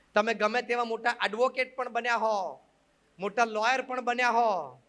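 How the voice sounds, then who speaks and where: A man uses a raised, projected voice at an extremely high pitch, his bright, sharp tone held in a monotone, flat intonation. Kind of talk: religious discourse to an audience. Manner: mixes Gujarati with English phrases.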